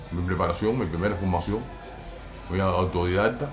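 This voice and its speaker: The recording carries music in the background along with audible room echo. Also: man. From Cuba, Güines. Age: 60s. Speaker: percussionist. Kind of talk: documentary interview.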